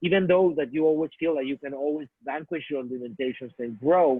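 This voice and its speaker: At a moderate pace, a man with a Spanish accent speaks at a fairly high pitch with ordinary pitch variation. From Mexico. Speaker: artist and filmmaker. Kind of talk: talk to students. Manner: halting, with many restarts.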